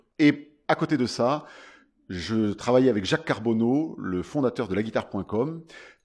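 Over a silent background in a very clean recording, a man with a medium pitch speaks at a fairly slow pace with lively intonation. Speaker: singer-songwriter and ukulele player. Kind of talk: interview. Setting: festival. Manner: animated.

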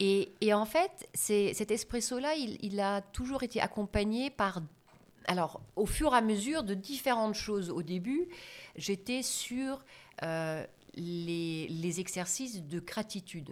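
The speech comes at a very slow pace in a German accent. The intonation is lively. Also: woman, medium pitch for a woman. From Germany. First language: German (speaking French). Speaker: business trainer and coach. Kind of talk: interview.

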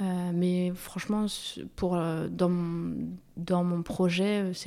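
Dark and mellow in tone, a woman with a fairly low pitch speaks at a very slow pace in a monotone, flat intonation. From Paris, France. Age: 30s. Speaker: café-workshop founder. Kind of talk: interview. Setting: in her café. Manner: hesitant, many fillers.

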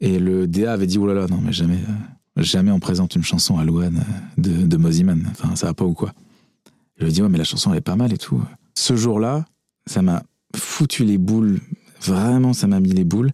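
A man with a very deep, low pitch and a dark, mellow tone talks at a fairly quick pace with ordinary pitch variation and very even loudness, broken by long, frequent pauses. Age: 30s. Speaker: composer and DJ. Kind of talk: casual chat.

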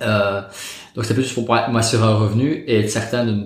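Audible room echo surrounds a man's somewhat breathy, medium-pitched voice, which has ordinary pitch variation. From Belgium, Liège. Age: 30s. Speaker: real estate investor. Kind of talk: interview. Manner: calm.

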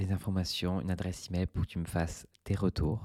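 A soft-spoken man with a very deep, low pitch and a dark, mellow tone, in a dry, close sound with no echo. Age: 30s. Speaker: podcast host. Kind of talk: relaxed solo monologue. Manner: slow.

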